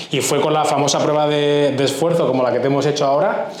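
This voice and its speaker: This man speaks at a fairly high pitch, and the room gives an audible echo. Noticeable background noise runs underneath. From Andalusia, Huelva province (Spain). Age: 30s. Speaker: cardiologist. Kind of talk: interview.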